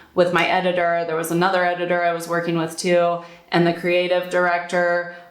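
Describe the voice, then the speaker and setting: Audible room echo surrounds a woman with an American accent speaking at a fairly low pitch. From United States. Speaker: calligrapher and blogger. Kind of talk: casual talk to camera. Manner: conversational, with repetitions.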